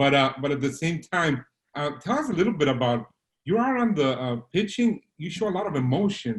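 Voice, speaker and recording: At a fairly quick pace, a man with a fairly high, somewhat breathy voice makes very wide pitch swings. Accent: Spanish. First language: Spanish. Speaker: Spanish-language play-by-play broadcaster. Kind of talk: interview. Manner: halting.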